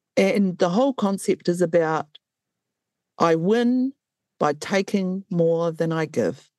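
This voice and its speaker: A woman with a New Zealand accent, medium in pitch with lively intonation, at a very slow pace with long, frequent pauses and very even loudness, in a dry, close sound with no echo and a quiet background. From New Zealand, Waikato. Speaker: traditional Māori healer and health policy advisor. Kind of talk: interview. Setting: video call. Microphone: possible audio issues over Zoom.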